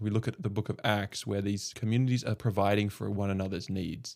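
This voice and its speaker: Over a very clean recording with a silent background, a man talks with fairly even intonation in a slight Australian accent. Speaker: podcast host. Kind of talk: casual chat.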